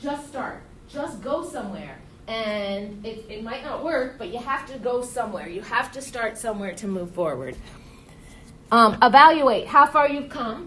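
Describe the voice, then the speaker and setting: A woman with a fairly high pitch speaks in an animated tone, with big swings in loudness. Audible room echo is present. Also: ordinary pitch variation, moderate pace. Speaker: teacher. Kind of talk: lecture.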